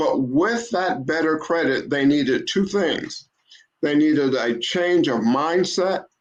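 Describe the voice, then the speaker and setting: The speaker has an ordinary speaking voice with lively intonation. The pace is fairly slow. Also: man, fairly high pitch for a man. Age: 60s. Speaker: car broker and credit advisor, retired teacher. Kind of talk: casual interview.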